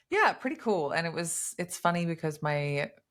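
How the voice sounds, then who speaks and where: A woman with an Australian accent at a moderate pace, on a very clean recording with a silent background. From Australia, Queensland. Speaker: bodybuilder. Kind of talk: casual chat. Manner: animated.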